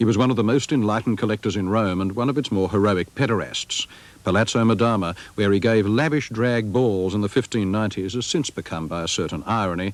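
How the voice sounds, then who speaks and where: A man talking very fast in a fairly low pitch. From Australia. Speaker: art critic. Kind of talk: documentary narration.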